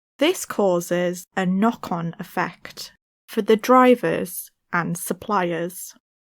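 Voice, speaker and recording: At a very slow pace, a woman with a British accent speaks with ordinary pitch variation on a very clean recording with a silent background. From Britain. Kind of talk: language-learning reading passage.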